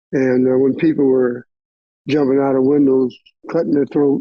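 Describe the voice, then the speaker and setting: This man's pitch is fairly high, and his intonation is monotone and flat. He talks at a moderate pace. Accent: American. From US Midwest, Minneapolis, Minnesota. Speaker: retired roofer, oral history interviewee. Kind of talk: oral history interview. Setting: remote call.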